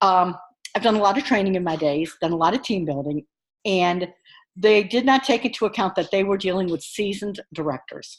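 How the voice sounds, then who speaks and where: On a very clean recording with a silent background, a woman in a plain, everyday voice talks at a medium pitch and fairly quick pace with ordinary pitch variation. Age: 50s. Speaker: online course instructor. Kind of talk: recorded course announcement. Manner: casual, encouraging.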